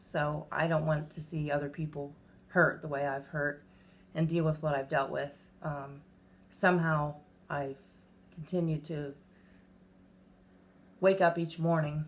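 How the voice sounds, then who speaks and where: This woman's voice is very deep and low, her intonation flat and monotone, and she talks at a fairly slow pace with long, frequent pauses. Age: 40s. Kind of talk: casual talk to camera.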